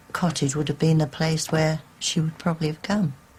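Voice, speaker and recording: A woman speaks in a fairly low pitch with a dark, mellow tone. Her voice is somewhat breathy. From England, Wigginton. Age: 70s. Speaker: local resident and witness. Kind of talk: interview.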